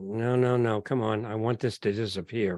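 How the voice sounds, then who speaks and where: A man with a New York accent, medium in pitch, at a moderate pace. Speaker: genealogy speaker. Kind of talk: lecture. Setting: video call. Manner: halting.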